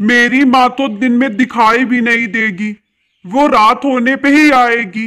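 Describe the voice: Putting on a character voice, a man speaks at an extremely high pitch and fairly slow pace, his tone bright and sharp and his intonation fairly even.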